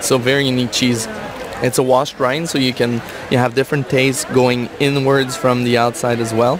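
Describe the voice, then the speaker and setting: This man talks at a fairly quick pace and a medium pitch, with a French-Canadian accent. His intonation is monotone and flat, his loudness very even, and there is noticeable background noise. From Quebec. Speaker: cheese expert. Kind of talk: casual interview chat. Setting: radio booth at a trade show.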